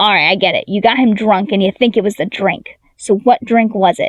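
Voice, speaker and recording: A gruff, put-on character voice from a woman, fairly high in pitch, at a fairly quick pace. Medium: read story. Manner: blunt, gruff.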